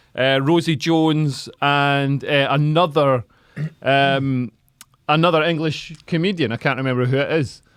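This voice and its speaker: In a south-west Scottish accent, a man speaks at a fairly slow pace and a fairly high pitch. His intonation is fairly even, and his loudness stays very even. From Scotland, Dumfries. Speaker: comedian and podcast host. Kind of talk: casual chat.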